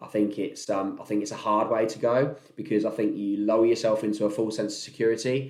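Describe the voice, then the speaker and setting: Fairly even intonation from a man with a fairly low pitch, at a fairly quick pace, with audible room echo. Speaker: podcast host, entrepreneur. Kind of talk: casual monologue. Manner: loud; laid-back.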